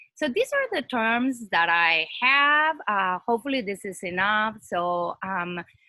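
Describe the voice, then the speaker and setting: Speaking with a non-native accent, a woman with a fairly high pitch and a bright, sharp tone uses lively intonation at a fairly slow pace. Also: hardly any pauses. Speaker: academic panelist. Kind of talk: presentation with slides.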